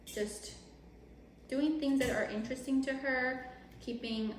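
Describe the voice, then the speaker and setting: With a Spanish accent and ordinary pitch variation, a woman speaks over noticeable background noise in a room with audible echo. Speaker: mom vlogger. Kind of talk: casual chat while cooking. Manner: code-switching between English and Spanish.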